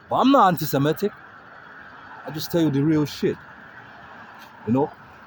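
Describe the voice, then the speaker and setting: Talking at a fairly quick pace, a man with a fairly high pitch and ordinary pitch variation is heard over noticeable background noise. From Africa. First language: not English. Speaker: street livestreamer. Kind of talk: street livestream monologue. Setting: outdoors. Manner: halting.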